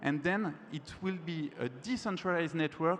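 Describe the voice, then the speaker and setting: Delivered fairly slowly, the speech carries ordinary pitch variation. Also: man. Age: 20s. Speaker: student activist. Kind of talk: panel discussion. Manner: halting.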